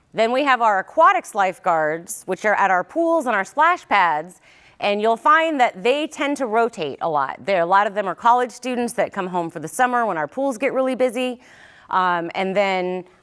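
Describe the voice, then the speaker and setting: A loud woman at a fairly high pitch, with very wide pitch swings. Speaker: county public safety director. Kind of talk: presentation.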